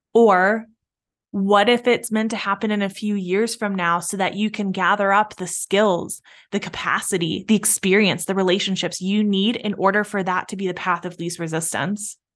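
At a moderate pace, a woman with a medium pitch speaks in a warm tone and monotone, flat intonation over a quiet background. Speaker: business coach and podcast host. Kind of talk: pep talk, coaching monologue. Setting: solo podcast recording. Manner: warm, encouraging, motivational; reflective, paced with pauses to let ideas sink in.

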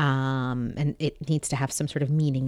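This very clean recording has a silent background and a dry, close sound with no echo. A woman with an American accent speaks at a moderate pace in a very deep, low pitch. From born in US, childhood partly in Saudi Arabia. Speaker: poet and translator. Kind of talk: interview conversation.

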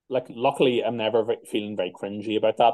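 A man with a Northern Irish accent speaks at medium pitch. His tone is dark and mellow. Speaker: metal band musician. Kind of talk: interview. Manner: casual.

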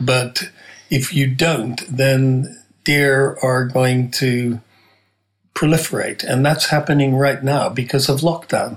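A man talks at a very slow pace with very even loudness, a medium pitch, and a somewhat breathy voice. His intonation is fairly even. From US Midwest (Nebraska). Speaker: organic food entrepreneur. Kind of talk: casual interview.

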